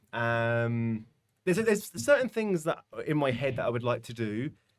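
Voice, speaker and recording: A British accent with lively intonation and big swings in loudness. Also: man. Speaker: comedy content creator. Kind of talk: interview conversation. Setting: live podcast. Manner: fast.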